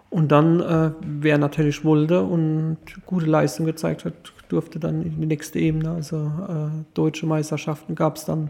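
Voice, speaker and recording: A moderate pace with fairly even intonation. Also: man, fairly high pitch for a man. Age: 40s. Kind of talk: casual interview. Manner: halting, many fillers.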